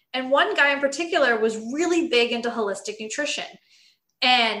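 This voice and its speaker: A woman with an American accent, lively intonation and a fairly quick pace, plus audible room echo. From US West Coast, Los Angeles. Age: 30s. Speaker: nutrition coach. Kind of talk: interview.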